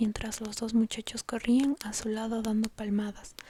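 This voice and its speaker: Noticeable background noise sits behind a woman speaking at a moderate pace. Her fairly high voice stays monotone and flat. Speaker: ASMR creator. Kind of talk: whispered bedtime story reading.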